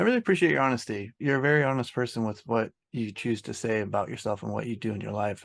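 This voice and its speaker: Over a quiet background, a man with an American accent talks at a very fast pace, at medium pitch, with ordinary pitch variation. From Oregon. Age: 30s. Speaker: podcast host, interviewer. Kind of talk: casual chat.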